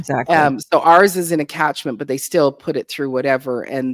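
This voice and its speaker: At a fairly quick pace, a woman speaks with a very deep, low pitch over a quiet background and a dry sound with no echo. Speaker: urban homesteader and content creator; content creator. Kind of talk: casual interview chat. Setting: video call livestream. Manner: halting, many fillers. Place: home room.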